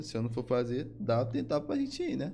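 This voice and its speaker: This man talks at a fairly quick pace with a dark, mellow tone and medium pitch. Audible room echo surrounds his voice. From Brazil, Maranhão (São Luís). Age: 20s. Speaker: esports player. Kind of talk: casual chat.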